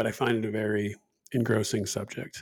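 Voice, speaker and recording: Here a man has a plain, everyday voice. He speaks at a medium pitch and a moderate pace. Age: 40s. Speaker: podcast co-host, former programmer. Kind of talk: casual chat.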